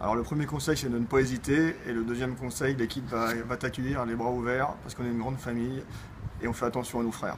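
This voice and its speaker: Here a man speaks at a medium pitch. His pace is very fast and his intonation fairly even. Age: 20s. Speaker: amateur football player. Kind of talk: interview.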